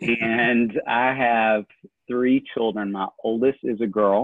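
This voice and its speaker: A man speaks with a strong Southern US accent. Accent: thick Southern US. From Tennessee, small town south of Nashville. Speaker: family therapist. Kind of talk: interview.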